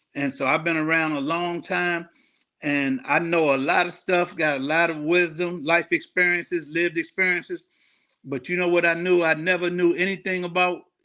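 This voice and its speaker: A bright, sharp tone comes through at a moderate pace with fairly even intonation. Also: man, high pitch for a man. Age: 60s. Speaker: pastor and ebay store coach. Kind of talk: casual chat.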